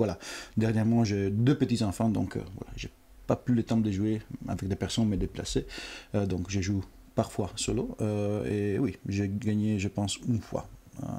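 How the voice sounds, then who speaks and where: With a slight Italian accent, a man speaks at a moderate pace in a fairly low voice with a dark, mellow tone, fairly even intonation, and long, frequent pauses. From Italy. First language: Italian (speaking French). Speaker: board game company representative. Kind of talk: casual interview on a live stream. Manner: halting, many fillers.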